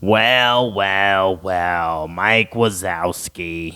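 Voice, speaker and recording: Putting on a character voice, a man speaks in a gravelly, very deep, low register. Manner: bored, flat.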